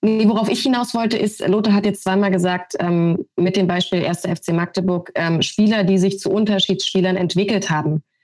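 Using an ordinary speaking voice, a woman talks at a moderate pace and medium pitch with fairly even intonation, very even loudness and hardly any pauses. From Brandenburg, eastern Germany. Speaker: sports TV presenter. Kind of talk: podcast discussion.

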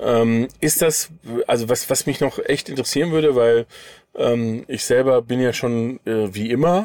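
On a very clean recording with a silent background, a man with a normal speaking voice talks at medium pitch with ordinary pitch variation. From Sauerland, but moved around a lot. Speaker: podcast host. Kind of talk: casual chat. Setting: inside a camper van.

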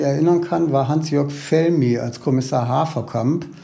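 A man speaks at a fairly slow pace with a fairly high pitch and ordinary pitch variation. Room echo is audible. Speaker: newspaper culture editor and TV critic. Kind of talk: casual interview.

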